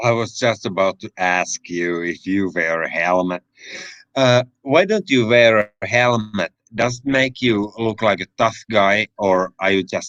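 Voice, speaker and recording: With a Finnish accent, the voice moves at a fairly slow pace with ordinary pitch variation, the sound dry and close with no echo. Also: man, fairly low pitch for a man. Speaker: livestream host. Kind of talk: casual chat.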